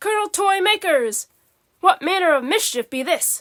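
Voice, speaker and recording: A woman's put-on character voice, gruff yet squeaky, extremely high in pitch, at a moderate pace. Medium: read story. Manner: menacing, gruff.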